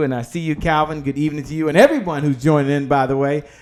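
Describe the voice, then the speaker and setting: The pace of this man's speech is very fast. He has a fairly high pitch. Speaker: talk show host. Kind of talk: live show interview.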